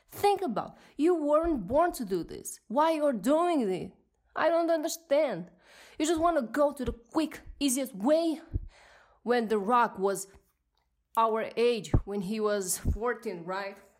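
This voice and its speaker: A woman with a non-native accent speaks in an animated, angry tone at a fairly slow pace. Her high pitch makes very wide swings. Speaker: podcast host. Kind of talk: solo podcast monologue, rant. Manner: animated, emotional, angry.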